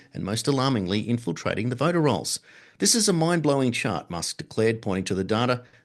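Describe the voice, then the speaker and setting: Against a quiet background, a man speaks very fast at a medium pitch. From Britain. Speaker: radio show host. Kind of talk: news reading.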